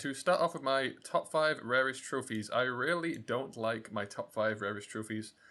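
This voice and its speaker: A man is speaking. His tone is bright and sharp. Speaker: gaming YouTuber. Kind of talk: casual video commentary. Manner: very fast; rambling.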